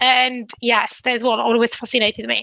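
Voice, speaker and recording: This woman has a high-pitched voice. She talks at a fairly quick pace. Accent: Italian. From northwest Italy. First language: Italian. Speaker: engineering consultancy founder. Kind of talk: interview.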